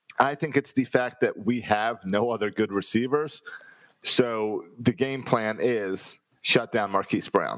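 A man speaks at a fairly slow pace in a plain, everyday voice with a medium pitch. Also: fairly even intonation. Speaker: sports podcast co-host. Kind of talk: casual chat.

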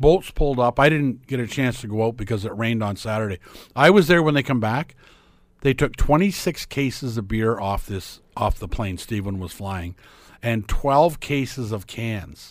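With a Canadian accent and a normal speaking voice, a man talks at medium pitch and a moderate pace with lively intonation, on a very clean recording with a silent background. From Ontario, Canada (small town). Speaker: sports talk guest. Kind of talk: casual chat.

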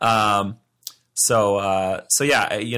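This man has a fairly low pitch, a bright, sharp tone and fairly even intonation. The recording is very clean, with a silent background. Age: 30s. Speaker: wedding filmmaker. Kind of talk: casual chat.

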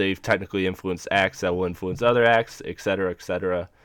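In a dry, close sound with no echo and a very clean recording over a silent background, a man with an ordinary speaking voice talks at a fairly low pitch with fairly even intonation. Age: 20s. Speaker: podcast host. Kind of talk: casual chat.

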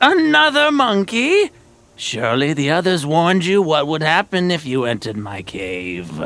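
A man puts on a character voice at a fairly high pitch, speaking at a moderate pace. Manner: menacing, taunting.

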